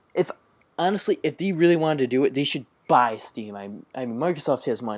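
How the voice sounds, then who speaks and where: The speaker talks at a fairly quick pace with an American accent. The background is quiet. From New York. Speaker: gaming podcast co-host. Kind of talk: casual chat.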